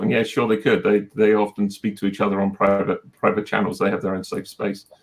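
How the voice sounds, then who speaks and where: A man with a British accent talks at a fairly quick pace. His voice sits at a fairly low pitch. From Britain. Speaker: technology executive, panelist. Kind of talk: panel discussion. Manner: halting, many fillers.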